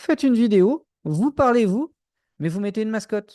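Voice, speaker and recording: A man with a dark, mellow tone speaks at a fairly slow pace with lively intonation. The sound is dry and close with no echo, and the background is quiet. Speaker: music producer and industry coach. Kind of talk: live stream training session. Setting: live stream on Instagram and YouTube. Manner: poorly articulated, repeats himself.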